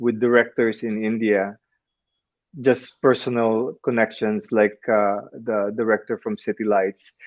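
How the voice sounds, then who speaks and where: A man with a Filipino accent speaks at a medium pitch and a fairly slow pace. His intonation stays fairly even. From Philippines. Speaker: actor. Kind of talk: interview. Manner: halting, with repetitions. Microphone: connection breaking up.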